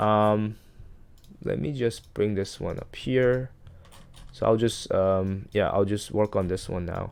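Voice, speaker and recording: Mumbling at a very slow pace with long, frequent pauses, a man keeps a fairly low pitch and fairly even intonation. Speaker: stock market commentator. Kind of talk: screen-share market analysis. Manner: halting, many fillers and restarts; self-described mumbling.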